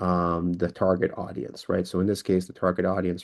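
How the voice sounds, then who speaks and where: A man with a very deep, low pitch, talking at a very fast pace against a quiet background. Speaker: LinkedIn sales consultant. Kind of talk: presentation with screen demo. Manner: halting, many fillers and restarts; quick.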